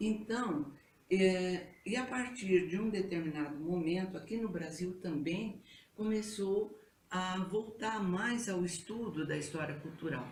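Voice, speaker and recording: Speech unfolds at a very slow pace with ordinary pitch variation. Audible room echo hangs around it. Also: woman, medium pitch for a woman. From Brazil, São Paulo. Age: 70s. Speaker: retired history teacher. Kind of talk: interview.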